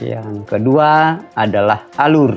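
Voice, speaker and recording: Music is playing in the background. A man talks with ordinary pitch variation. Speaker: junior high school teacher. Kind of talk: educational lesson narration.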